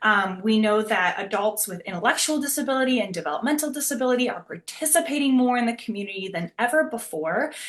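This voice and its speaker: Over noticeable background noise, a woman talks very fast at a fairly high pitch, with lively intonation and hardly any pauses. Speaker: speech language pathologist presenter. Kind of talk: webinar presentation. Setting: video call webinar. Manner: fast talker.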